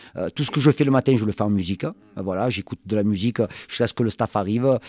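Very fast man's voice, fairly low and dark and mellow, ordinary pitch variation, dry and close with no echo, very clean recording and silent background. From southern France, Marseille. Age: 50s. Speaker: football coach. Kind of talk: long-form interview. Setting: club office or stadium.

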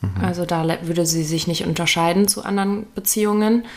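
Medium pitch and ordinary pitch variation in a woman's plain, everyday voice. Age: 20s. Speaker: podcast co-host. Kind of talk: casual chat.

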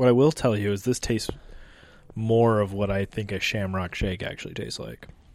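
A man speaks at a fairly quick pace in an ordinary speaking voice, his fairly low pitch held in fairly even intonation. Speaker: guest, YouTube creator. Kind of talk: casual chat. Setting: on location in an Irish pub. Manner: joking, playful.

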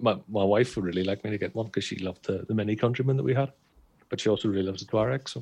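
At a very fast pace, a man talks in a fairly low pitch. His pitch variation is ordinary. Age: 40s. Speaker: car podcast co-host. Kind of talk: casual chat. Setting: video call.

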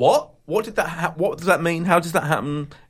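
A high-pitched man with a British accent talks at a fairly quick pace in a playful, animated tone. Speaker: podcast host. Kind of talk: casual chat about TV. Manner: playful banter, animated.

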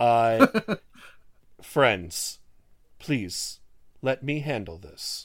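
A man's put-on character voice at medium pitch. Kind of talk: refined. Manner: calm, reassuring.

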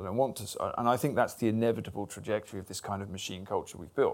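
A man at a very fast pace, in a very clean recording with a silent background. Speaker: writer. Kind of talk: live interview before audience. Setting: club event with audience.

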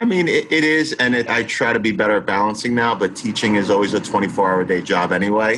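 A man talks at a very fast pace with hardly any pauses and very even loudness. His voice is fairly low, with ordinary pitch variation. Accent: American. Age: 40s. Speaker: high school teacher. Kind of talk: interview.

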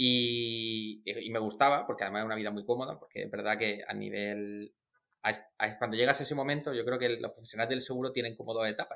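A man with a medium pitch and a bright, sharp tone speaks very fast, keeping his intonation fairly even. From Murcia, southern Spain. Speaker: insurance entrepreneur, actuary. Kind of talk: interview. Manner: hesitant, frequent repetitions.

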